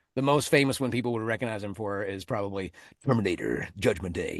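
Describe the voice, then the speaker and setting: In a quiet setting, a man with a fairly low voice talks fairly quickly in a normal speaking voice, his pitch varying in an ordinary way. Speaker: movie trailer voice actor. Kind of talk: podcast interview answer. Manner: casual, conversational.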